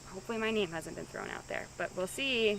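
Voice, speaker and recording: Speaking at a fairly quick pace, a woman keeps a medium pitch and fairly even intonation. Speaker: reality show contestant. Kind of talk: confessional interview. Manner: loud; hesitant, filler-heavy.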